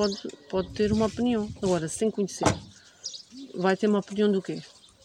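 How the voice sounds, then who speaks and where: A woman with a medium-pitched voice speaks over noticeable background noise. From Portugal, Ribatejo (Alpiarça). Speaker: Roma community member, mother. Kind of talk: interview testimony. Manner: halting.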